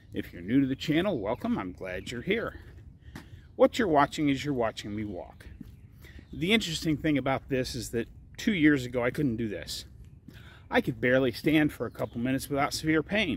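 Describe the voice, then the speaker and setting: Over light background noise in a dry sound with no echo, a man speaks at a fairly quick pace with vocal fry and very wide pitch swings. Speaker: diet vlogger. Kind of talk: casual vlog chat. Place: street. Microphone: phone near.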